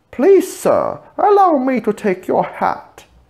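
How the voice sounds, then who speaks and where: A put-on character voice from a man, extremely high in pitch, at a fairly slow pace. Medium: read story. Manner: polished, formal service manner.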